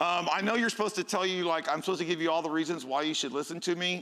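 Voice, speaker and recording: An American-accented man speaks loudly. His tone is bright and sharp. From Houston, Texas. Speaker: security conference speaker. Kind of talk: conference talk. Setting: stage with audience. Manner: animated, halting with fillers.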